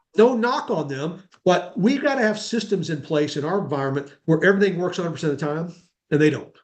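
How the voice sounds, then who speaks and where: Talking at a very fast pace with a high pitch and lively intonation, a man is heard with audible room echo. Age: 60s. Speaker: self-storage consultant. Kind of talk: webinar interview. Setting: video webinar. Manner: conversational, with fillers.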